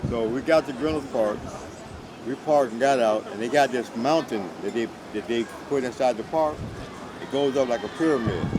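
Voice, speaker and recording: Speaking at a fairly quick pace yet with long, frequent pauses, a man uses a medium pitch and ordinary pitch variation over noticeable background noise. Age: 80s+. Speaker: elderly father telling stories. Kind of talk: casual storytelling. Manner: loud; animated.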